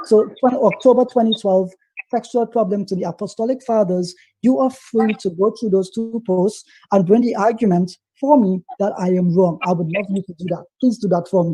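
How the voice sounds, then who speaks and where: This man's voice has a dark, mellow tone and a high pitch. The pitch varies in an ordinary way. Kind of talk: heated debate. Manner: fast.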